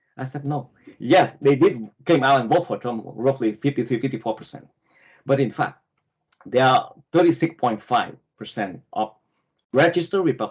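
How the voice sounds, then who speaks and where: In a Vietnamese accent, a man speaks at a fairly high pitch. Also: ordinary pitch variation, moderate pace. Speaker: political candidate. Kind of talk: interview. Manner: halting.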